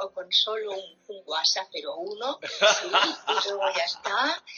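A woman talking at a fairly slow pace. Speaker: writer and psychotherapist. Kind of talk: interview on live stream.

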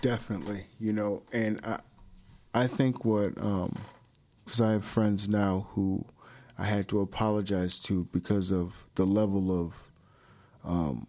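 A man with a Chicago accent speaks fairly slowly in a fairly low voice with a dark, mellow tone and fairly even intonation. He takes long, frequent pauses, and the recording is very clean with a silent background. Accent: Chicago-area American. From Chicago suburbs, Illinois. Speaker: former college athlete. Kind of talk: interview.

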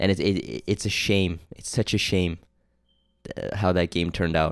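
A man with a Canadian accent speaks at a moderate pace in a very deep, low pitch. The recording is very clean, with a silent background. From Canada, Toronto. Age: 20s. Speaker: podcast host and film student. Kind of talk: casual solo monologue. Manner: halting, many fillers.

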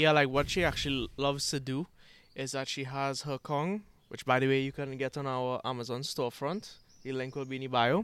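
In an ordinary speaking voice, a man of medium pitch talks at a fairly quick pace with fairly even intonation on a very clean recording with a silent background. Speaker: co-host, social media manager. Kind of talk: podcast discussion.

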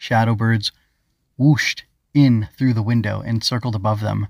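A plain, everyday voice, a man at a medium pitch and moderate pace, dry and close with no echo on a very clean recording with a silent background. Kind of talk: children's audiobook reading.

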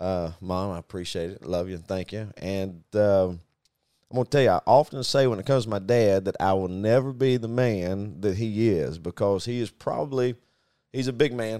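A man speaks with a Southern US accent in a fairly low pitch, his tone dark and mellow with ordinary pitch variation. The recording is very clean, the background silent. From US Deep South (Arkansas). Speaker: business owner and podcast co-host. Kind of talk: casual chat.

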